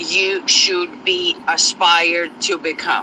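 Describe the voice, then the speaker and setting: Very wide pitch swings mark this man's speech, delivered with a non-native accent. Noticeable background noise sits behind him. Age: 40s. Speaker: astrology content creator. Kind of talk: casual monologue. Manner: hesitant, many fillers.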